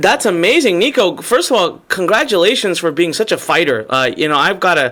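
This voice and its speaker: A raised, projected voice with an animated tone and very wide pitch swings, at a fairly quick pace with hardly any pauses. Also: man, high pitch for a man. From Indian descent. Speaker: webinar host and online marketer. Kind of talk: live webinar interview. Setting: live online webinar.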